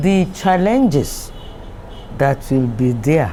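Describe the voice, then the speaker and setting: Pitch swings very widely in this clip, which carries noticeable background noise. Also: woman. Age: 80s+. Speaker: retired company managing director. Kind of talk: interview answer.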